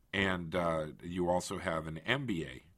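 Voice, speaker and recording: Very deep, low male pitch paired with a bright, sharp tone. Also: very clean recording, silent background. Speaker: government official hosting a podcast. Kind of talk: interview.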